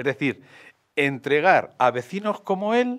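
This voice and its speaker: A man with very wide pitch swings against a quiet background. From Madrid, Spain; Spain. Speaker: mayoral candidate, architect; candidate. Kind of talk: political interview. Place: studio. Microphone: studio mic.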